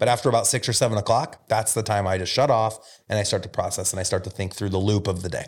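In a very clean recording with a silent background, a somewhat breathy voice with an American accent races at a very fast pace with fairly even intonation. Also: man, fairly low pitch for a man. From Omaha, Nebraska (US Midwest). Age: 40s. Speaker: real estate brokerage founder. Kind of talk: casual interview conversation. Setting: podcast studio.

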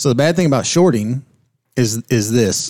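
A man with an unremarkable speaking voice talks at medium pitch and a moderate pace with lively intonation. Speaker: podcast co-host. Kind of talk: casual interview chat about investing.

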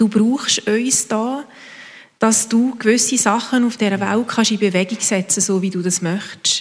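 Using a plain, everyday voice, a woman speaks at a fairly slow pace with fairly high pitch and fairly even intonation. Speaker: congregation member praying. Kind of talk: spoken prayer.

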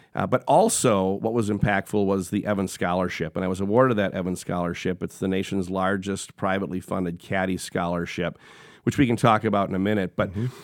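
Very fast and fairly low-pitched, a man speaks with an Upper Midwest accent and fairly even intonation on a very clean recording with a silent background. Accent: Upper Midwest American. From Wisconsin, Sheboygan. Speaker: corporate executive. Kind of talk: interview conversation. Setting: studio.

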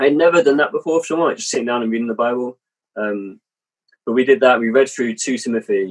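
Here a man speaks with an English accent. His pitch is medium and his pace very fast. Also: ordinary pitch variation. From England. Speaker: missionary and author. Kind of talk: casual interview. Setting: video call.

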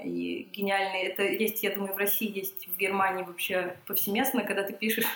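Over noticeable background noise and audible room echo, a woman at a medium pitch talks at a fairly quick pace. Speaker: psychiatrist and psychotherapist. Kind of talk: casual interview. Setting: home kitchen.

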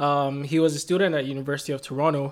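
The man's pitch is fairly high and his intonation monotone and flat. He keeps a moderate pace. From Nigeria (Lagos). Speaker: afro-fusion musician. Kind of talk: interview. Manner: many filler words, um and like.

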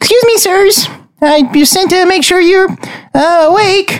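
In a put-on character voice, the speaker squeaks at an extremely high pitch and a moderate pace. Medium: actual play. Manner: stammering, deferential.

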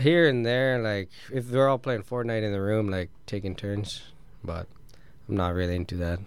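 A man with a Canadian accent, a normal speaking voice, fairly low pitch, ordinary pitch variation and a moderate pace. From rural Ontario, Canada. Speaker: professional hockey player. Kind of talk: casual interview. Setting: radio studio.

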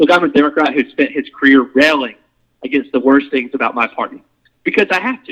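Fairly high in pitch, this man has a plain, everyday voice. His intonation stays fairly even. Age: 30s. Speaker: political candidate. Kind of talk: casual debate.

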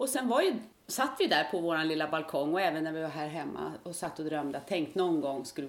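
A woman with a very deep, low pitch, lively intonation and a fairly quick pace. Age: 50s. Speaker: retired nurse, part-time Mallorca resident. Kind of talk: interview.

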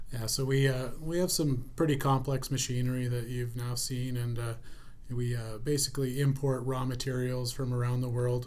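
Amid audible room echo, a man speaks at medium pitch and a moderate pace with monotone, flat intonation. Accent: Canadian. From Canada, Prairies (grew up Cold Lake, Alberta). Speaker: plastics company president. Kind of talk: interview.

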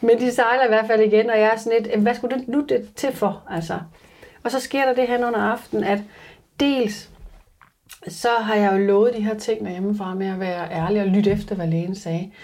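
Her voice is a plain, everyday voice, a woman's at a fairly high pitch with ordinary pitch variation and a moderate pace. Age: 30s. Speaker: reality TV survival contestant. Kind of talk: interview. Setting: in person with host.

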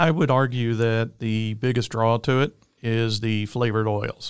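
With a medium pitch and fairly even intonation, a man speaks in an Alabama accent, recorded very cleanly over a silent background. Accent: Southern US (Alabama). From Alabama, US South. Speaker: tech industry executive. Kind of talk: interview. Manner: halting, filler-heavy.

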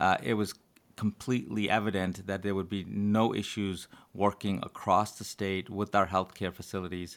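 On a very clean recording with a silent background, a man with an ordinary speaking voice and an American accent talks at a fairly low pitch and a moderate pace with fairly even intonation. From New York City (Brooklyn). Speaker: epidemiologist and public health dean. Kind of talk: interview.

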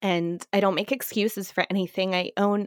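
A plain, everyday voice from a woman with an American accent, medium pitch, fairly even intonation and a moderate pace, in a dry, close sound with no echo. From US South, Florida. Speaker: poker pro and life coach. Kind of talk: casual interview chat.

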